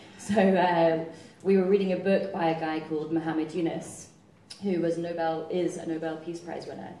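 The delivery is fairly quick and monotone, with flat intonation. Room echo is audible, and there is light background noise. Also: woman. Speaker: guest. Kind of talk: interview answer. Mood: light, humorous storytelling. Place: stage.

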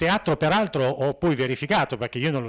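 Over a quiet background, the voice carries lively intonation. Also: man. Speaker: conference speaker. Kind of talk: conference talk. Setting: conference hall with audience. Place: hall. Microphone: handheld.

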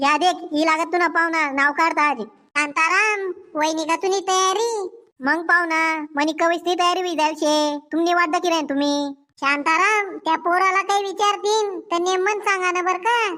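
A woman's squeaky, put-on character voice, extremely high in pitch, very even in loudness and fairly slow in pace. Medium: cartoon.

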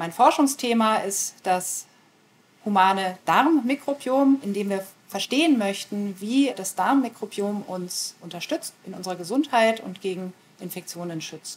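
A woman's fairly slow delivery with lively intonation and big swings in loudness. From rural Germany. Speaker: professor. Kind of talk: interview monologue. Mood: calm, thoughtful.

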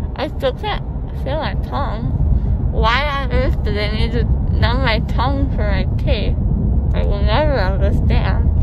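Against loud background noise, a woman speaks at a fairly slow pace in a dry sound with no echo. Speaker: vlogger after dental surgery. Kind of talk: casual vlog chat. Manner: slurred speech, tongue numb and swollen. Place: car. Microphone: phone near.

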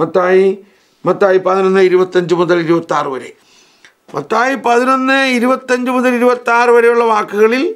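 Lively intonation stands out against a quiet background. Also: man, high pitch for a man. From Kerala, India. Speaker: priest teacher. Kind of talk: lecture; religious lecture and prayer. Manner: repetitive, emphatic. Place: studio.

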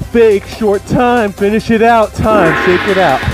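The speech moves at a very slow pace. The sound is dry with no echo, and faint music plays in the background. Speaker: wrestling coach. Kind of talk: workout instruction. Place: home room. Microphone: headset.

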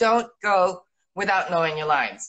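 Against a quiet background, a woman with an American accent speaks in an animated tone with lively intonation. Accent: American-sounding English. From Italy (Rome), born in England. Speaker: actress. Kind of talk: casual interview. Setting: video call. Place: home room. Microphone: video call.

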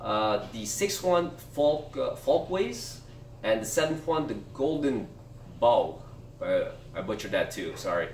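Audible room echo surrounds a man's voice, with light background noise behind it. He speaks at a fairly slow pace. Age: 30s. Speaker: book review youtuber. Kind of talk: casual video monologue. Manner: halting, many fillers. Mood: relaxed, a bit self-deprecating. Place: home room. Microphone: camera far.

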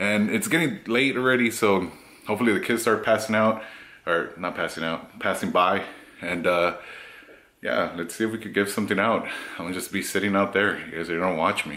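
Fairly quick and fairly low in pitch, a man speaks with ordinary pitch variation. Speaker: vlogger. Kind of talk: casual vlog chat. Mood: playful, laughing. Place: home room. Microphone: phone near.

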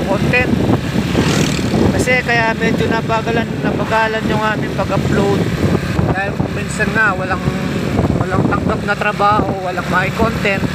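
Long, frequent pauses break up the speech, which sounds dry with no echo over loud background noise. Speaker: rider vlogger. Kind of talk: casual vlog chat. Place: motorbike. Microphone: phone near.

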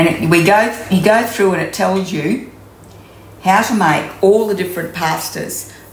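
Strong room echo surrounds a woman speaking with ordinary pitch variation. She goes at a fairly slow pace.

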